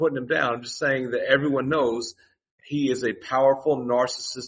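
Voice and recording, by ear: The reading aloud is done in a natural voice. Pitch shifts by ordinary amounts over a quiet background.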